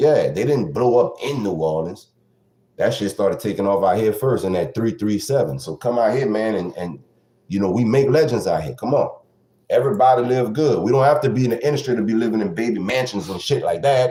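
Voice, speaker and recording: A man speaks at a fairly quick pace with lively intonation and vocal fry. His medium-pitched voice has a dark, mellow tone. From southwest Louisiana, Lake Charles area (337), Creole. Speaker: podcast host. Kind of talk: casual opinion monologue podcast. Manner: animated.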